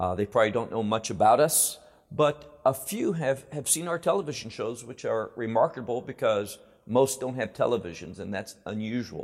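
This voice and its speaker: With an American accent, a man speaks in an unremarkable speaking voice at a medium pitch. His pace is moderate and his intonation lively. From United States. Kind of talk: interview conversation about faith and Israel. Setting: studio.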